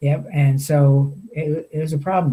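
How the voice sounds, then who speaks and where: In a fairly high, dark, mellow, somewhat breathy voice, a man with an American accent speaks in a flat monotone. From New York. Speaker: veterans' storyteller, founder. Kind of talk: interview. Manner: halting.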